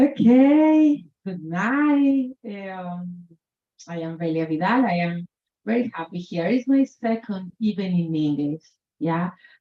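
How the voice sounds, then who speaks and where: A woman with a Colombian accent speaks very slowly at a medium pitch with very wide pitch swings. Her tone is dark and mellow, and somewhat breathy. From Colombia, Chocó Pacific region. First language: Spanish. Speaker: author. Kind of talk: author talk at book event. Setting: bookshop event with audience. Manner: halting, non-native English.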